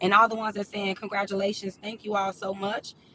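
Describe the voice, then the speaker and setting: A woman with a medium pitch speaks while noticeable background noise is audible. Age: young. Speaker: life coach livestreamer. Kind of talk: casual livestream chat. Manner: hesitant, many fillers.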